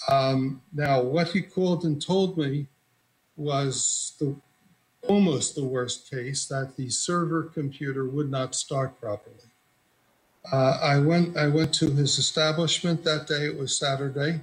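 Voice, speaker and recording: A man speaks at a fairly high pitch and a fairly slow pace. His voice is somewhat breathy, and his intonation stays fairly even. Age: 80s+. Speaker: computer technician, plaintiff. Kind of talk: courtroom testimony.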